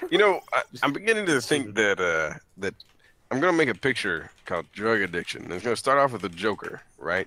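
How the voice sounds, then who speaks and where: The pace of this man's speech is fairly quick. His pitch swings very widely. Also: medium pitch for a man. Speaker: gamer. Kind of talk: casual chat. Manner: animated.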